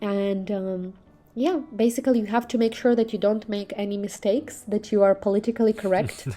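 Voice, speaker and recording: A woman with a Russian accent at a fairly high pitch and fairly quick pace, with ordinary pitch variation and music in the background. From Belarus. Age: 20s. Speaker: social media influencer and cultural ambassador. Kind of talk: interview.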